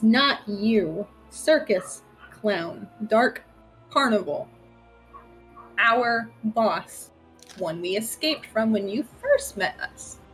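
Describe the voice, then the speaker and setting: Over music in the background, a put-on character voice growls its words at a very slow pace. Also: woman, fairly high pitch for a woman. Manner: gruff, blunt.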